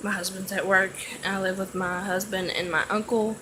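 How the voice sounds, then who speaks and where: Someone speaks at a moderate pace with an East Tennessee accent. Background noise is noticeable. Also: woman. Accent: East Tennessee Southern US. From Tennessee (Bluff City, East Tennessee). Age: 20s. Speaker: vlogger. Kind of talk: casual vlog chat. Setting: at home. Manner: hesitant, many fillers.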